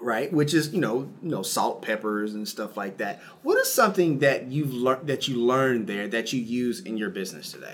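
A man with a plain, everyday voice talks at a moderate pace with lively intonation and hardly any pauses. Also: medium pitch for a man. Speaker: podcast host. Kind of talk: podcast interview, sponsor read.

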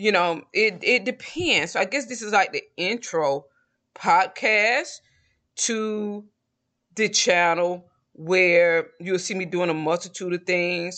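Against a quiet background, a woman in a Southern US accent speaks at a very slow pace, her bright, sharp tone sitting at a medium pitch with ordinary pitch variation. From US South, Georgia. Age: 40s. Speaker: podcast host. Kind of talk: casual solo monologue.

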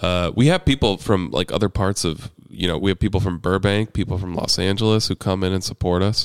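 A very deep, low-pitched man with an American accent, fairly even intonation and a fairly quick pace, on a very clean recording with a silent background and a dry, close sound with no echo. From US Midwest, small town. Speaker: local activist and former city council candidate. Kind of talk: casual discussion.

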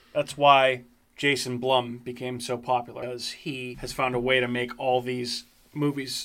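A man with an American accent speaks in a medium pitch with monotone, flat intonation. Noticeable background noise is present. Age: 30s. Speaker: podcast host. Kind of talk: casual chat. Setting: studio.

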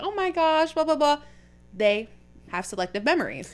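A woman's animated, fairly quick delivery with very wide pitch swings over noticeable background noise. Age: 20s. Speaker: podcast host. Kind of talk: casual chat.

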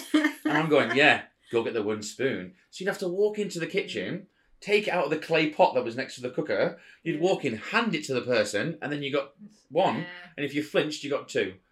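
This man speaks at a fairly quick pace in a fairly high voice with vocal fry. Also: lively intonation. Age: 30s. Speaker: father, podcast guest. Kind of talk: casual chat.

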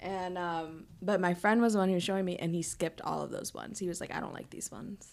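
A woman talks very fast with hardly any pauses. Her pitch is medium and her intonation fairly even. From US Midwest, Wisconsin. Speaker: podcast guest. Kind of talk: casual chat.

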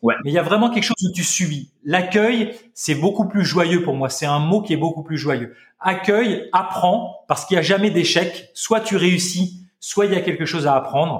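A man speaks with a high pitch and an animated tone. He leaves hardly any pauses. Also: ordinary pitch variation, moderate pace. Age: 40s. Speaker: health practitioner and longevity teacher. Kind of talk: casual chat.

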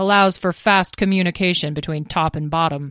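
Using a put-on character voice, a woman rumbles in a fairly low pitch at a fairly quick pace, the sound dry and close with no echo. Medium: read story. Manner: grunting, grumbling.

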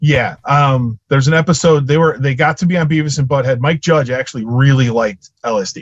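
In a Chicago accent, a man talks at a fairly quick pace with hardly any pauses. His voice is fairly high, somewhat breathy and very even in loudness. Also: ordinary pitch variation. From Chicago, US Midwest. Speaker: audio engineer and touring musician. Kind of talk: casual storytelling interview. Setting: video call. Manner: talkative, animated storyteller.

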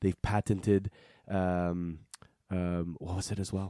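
In a dry, close recording with no echo, a man with a Quebec accent speaks in a fairly low voice with a dark, mellow tone. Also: very clean recording, silent background. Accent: Quebec French-Canadian. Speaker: watch podcast co-host. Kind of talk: casual chat.

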